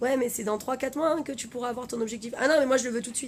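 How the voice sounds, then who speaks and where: Woman's high voice, animated in tone, with ordinary pitch variation. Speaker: life coach. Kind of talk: live stream talk. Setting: Facebook live video. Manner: fast.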